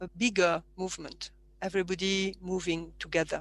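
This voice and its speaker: A woman speaks in a French accent. She goes at a fairly slow pace. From southern France (Provence). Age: 50s. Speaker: martial arts teacher. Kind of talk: interview conversation. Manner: halting.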